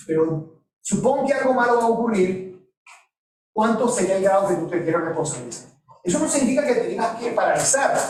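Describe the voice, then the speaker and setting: Lively in intonation, a man with a Venezuelan accent speaks at a high pitch. His pace is fairly quick, with audible room echo around him. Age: 50s. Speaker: professor. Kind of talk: lecture.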